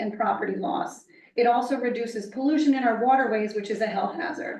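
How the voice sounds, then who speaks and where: Speaking at a fairly quick pace, a woman with a fairly high pitch is heard amid audible room echo. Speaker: member of the public on a town environmental commission. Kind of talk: reading a prepared statement at a public hearing. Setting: municipal meeting room. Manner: fast.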